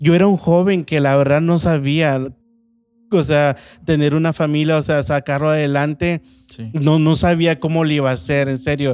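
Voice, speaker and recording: In a Veracruz accent, a man talks at a moderate pace with fairly high pitch and fairly even intonation. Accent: Veracruz Mexican Spanish. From Mexico, Veracruz. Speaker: restaurant owner. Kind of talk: testimony.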